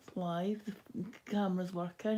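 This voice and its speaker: A woman talks in a Scottish accent with a somewhat breathy voice. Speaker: cross-stitch hobby streamer. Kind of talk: casual live stream chat. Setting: live stream at home. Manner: halting.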